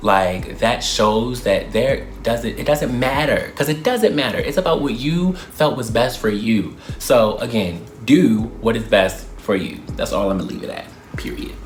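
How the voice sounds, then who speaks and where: Amid noticeable background noise and audible room echo, a man with a Baltimore accent speaks in an animated tone. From Baltimore, US. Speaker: YouTuber. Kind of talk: Q&A vlog, casual monologue. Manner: fast.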